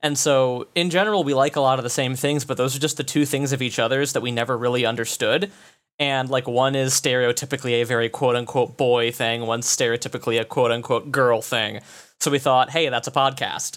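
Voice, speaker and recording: On a very clean recording with a silent background, a man talks at a very fast pace with very even loudness. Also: medium pitch for a man, fairly even intonation. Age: 20s. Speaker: podcast guest. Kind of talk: casual chat. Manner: halting, many fillers.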